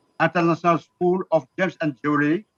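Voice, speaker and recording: A man's high voice at a moderate pace, fairly even in intonation, with a dry, close sound and no echo. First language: Arabic. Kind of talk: business webinar talk. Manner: halting.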